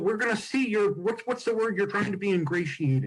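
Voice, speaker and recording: In a high pitch, a man speaks with very wide swings in pitch. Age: 60s. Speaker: comedian and podcast co-host. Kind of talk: casual chat. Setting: video call.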